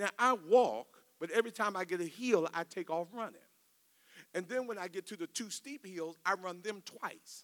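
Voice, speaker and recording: A man's raised, projected voice, high-pitched with a bright, sharp tone, at a fairly slow pace, in dry, close sound with no echo. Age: 50s. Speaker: pastor. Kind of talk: sermon. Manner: repetitive stammering starts.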